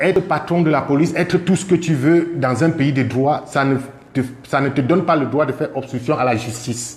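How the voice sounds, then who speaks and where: The voice carries vocal fry and moves at a fairly slow pace. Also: man. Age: 40s. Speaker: car dealer. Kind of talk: testimony. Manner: halting.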